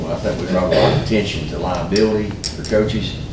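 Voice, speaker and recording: A man speaks at a fairly quick pace with audible room echo. Noticeable background noise is present. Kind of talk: formal meeting remarks. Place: meeting room. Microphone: camera far.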